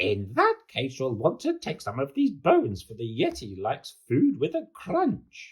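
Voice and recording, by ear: In a put-on character voice with a slightly husky edge, a man speaks at medium pitch and a fairly slow pace, swinging very widely in pitch.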